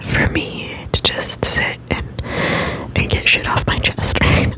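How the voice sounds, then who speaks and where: Noticeable background noise fills the clip. Over it, a man is whispering. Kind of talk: ASMR whisper ramble, casual talk to camera. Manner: quiet, relaxed, casual.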